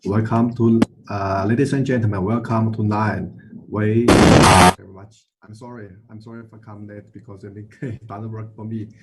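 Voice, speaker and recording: A man with a Chinese accent, medium pitch and monotone, flat intonation, at a moderate pace, with big swings in loudness. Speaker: session chair, surgeon. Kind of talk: panel moderation. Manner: halting.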